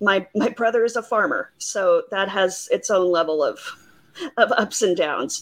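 Moving at a fairly slow pace, a woman's voice sweeps through very wide pitch swings. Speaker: caller. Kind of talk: casual chat.

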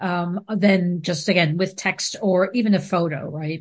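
A woman at a fairly slow pace and medium pitch, with fairly even intonation and a quiet background. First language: not English. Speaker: video marketing expert. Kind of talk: casual interview chat. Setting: video call.

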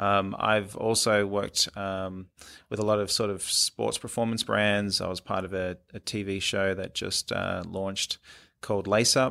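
On a very clean recording with a silent background, a man with an Australian accent speaks at a fairly slow pace. His fairly low voice has a bright, sharp tone and a monotone, flat intonation. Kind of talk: interview. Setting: studio.

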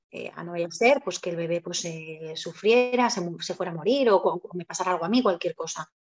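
Her voice is a plain, everyday voice. This woman speaks at a moderate pace, and her pitch varies in an ordinary way. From Spain, Zaragoza (Aragon). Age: 30s. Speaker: mother telling her birth story. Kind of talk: interview testimony.

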